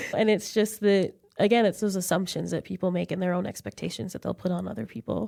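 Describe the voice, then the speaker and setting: A woman with a dark, mellow tone and vocal fry speaks at a medium pitch and a very fast pace, with ordinary pitch variation. The sound is dry and close with no echo. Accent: American. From Colorado. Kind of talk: casual interview chat. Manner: casual, filler-heavy.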